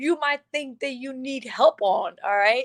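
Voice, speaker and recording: The speaker has a non-native accent and ordinary pitch variation. The sound is dry and close, with no echo. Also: woman. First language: not English. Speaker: motivational speaker. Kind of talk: live motivational talk. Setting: livestream. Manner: animated.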